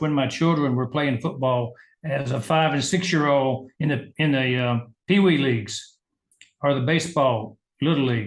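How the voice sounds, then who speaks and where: A somewhat breathy man with a Southern US accent, fairly high pitch, ordinary pitch variation and a moderate pace. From US South, Georgia. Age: 70s. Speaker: medical doctor and business leader. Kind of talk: interview.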